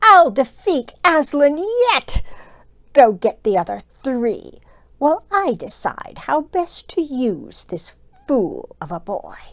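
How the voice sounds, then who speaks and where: A woman puts on a character voice, raised, projected and growling with a menacing tone. Her pitch is high and swings very widely, at a fairly slow pace. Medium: read story. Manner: snarling, menacing.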